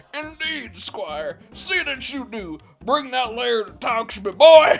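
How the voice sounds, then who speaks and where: A man uses a put-on character voice at an extremely high pitch, speaking at a fairly slow pace. Faint music sits in the background. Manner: commanding.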